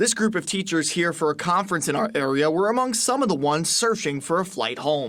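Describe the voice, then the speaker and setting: Speaking at a fairly quick pace, a man with an American accent uses lively intonation. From Pennsylvania, USA. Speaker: TV news reporter and anchor. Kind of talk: TV news reporting. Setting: airport news package voiceover.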